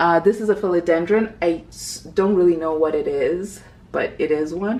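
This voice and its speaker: Noticeable background noise sits behind a woman's fairly low voice. She speaks at a moderate pace with lively intonation. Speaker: plant content creator. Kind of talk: casual home tour vlog. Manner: casual, hesitant with fillers.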